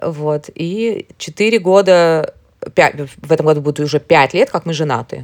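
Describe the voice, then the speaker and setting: A woman with a normal speaking voice talks at a moderate pace, fairly low in pitch with ordinary pitch variation. The sound is dry and close, with no echo. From Moscow, Russia. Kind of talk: interview.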